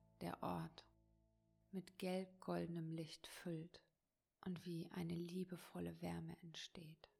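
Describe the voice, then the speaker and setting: A woman speaking at a very slow pace, with music in the background. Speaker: meditation teacher and coach. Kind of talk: guided meditation. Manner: slow, soft, soothing, calm; gentle, warm, with long pauses.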